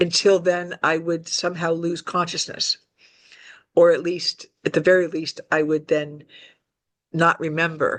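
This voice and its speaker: In a dry, close sound with no echo, a woman speaks at a fairly low pitch and fairly slow pace, her intonation flat and monotone, with long, frequent pauses. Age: 60s. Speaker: alien contactee. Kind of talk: interview testimony. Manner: halting, with fillers.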